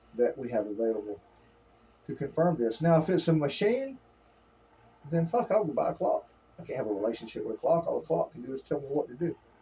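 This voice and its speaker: A man with vocal fry and a fairly high pitch swings very widely in pitch, talking at a very fast pace broken by long, frequent pauses. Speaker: former trial attorney and therapeutic counsellor. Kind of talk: extemporaneous conversational talk about 12-step principles. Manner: conversational, intense, saucy.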